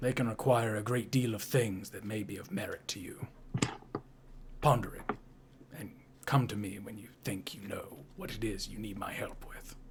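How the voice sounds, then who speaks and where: A man's put-on character voice at medium pitch, moderate in pace with long, frequent pauses and big swings in loudness, over light background noise. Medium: actual play. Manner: formal, measured.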